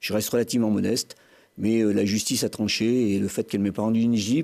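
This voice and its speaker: A man with a fairly low pitch and dark, mellow tone talks at a very fast pace on a very clean recording with a silent background. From France, Grenoble area. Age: 60s. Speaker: mayor and election candidate. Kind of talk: televised political debate. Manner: hesitant, many fillers.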